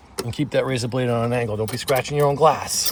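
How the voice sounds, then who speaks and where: A man's voice sits at a medium pitch, his intonation fairly even, with noticeable background noise behind him. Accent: strong Boston. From Boston, US. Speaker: DIY tutorial creator, contractor. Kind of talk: tutorial.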